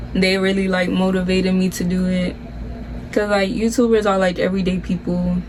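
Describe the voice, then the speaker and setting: A woman with an American accent talks at a fairly quick pace, medium in pitch with monotone, flat intonation. There is audible room echo and noticeable background noise. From Miami, Florida, Nicaraguan family. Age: 20s. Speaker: YouTuber, nursing student. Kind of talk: casual Q&A chat.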